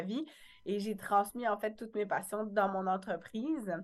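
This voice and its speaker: At a fairly slow pace, a woman talks. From rural France. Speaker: wellness entrepreneur and author. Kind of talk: interview. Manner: halting.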